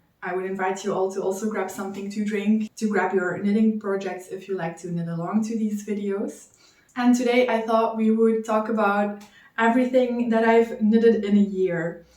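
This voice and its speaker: Over noticeable background noise and audible room echo, a woman speaks at a moderate pace and medium pitch with fairly even intonation. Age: 20s. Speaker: knitting vlogger. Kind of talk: casual chat.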